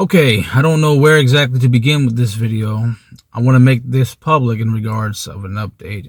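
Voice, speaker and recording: A man's somewhat breathy voice, medium in pitch, with ordinary pitch variation and a fairly quick pace. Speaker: former retail salesman. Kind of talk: casual rant to camera. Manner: stammering.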